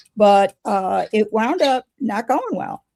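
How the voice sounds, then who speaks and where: A woman with an American accent sounds somewhat breathy at a fairly high pitch with ordinary pitch variation, the sound dry and close with no echo. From Chicago. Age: 70s. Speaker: pagan elder and author. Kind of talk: interview. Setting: in person, same room.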